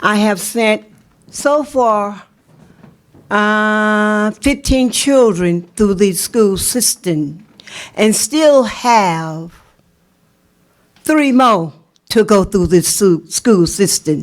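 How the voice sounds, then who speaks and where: A woman with a South Carolina accent talks at a very slow pace, leaving long, frequent pauses. Her voice is fairly high, her intonation lively, and her loudness very even. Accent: Southern US, South Carolina. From US South, South Carolina. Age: 70s. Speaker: parent, public commenter. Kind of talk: public comment at board meeting. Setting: school board meeting.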